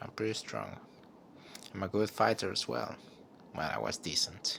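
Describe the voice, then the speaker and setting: Whispering, a man speaks with a non-native accent. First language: not English. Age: 20s. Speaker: vlogger. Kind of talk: personal monologue. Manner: halting; stutter.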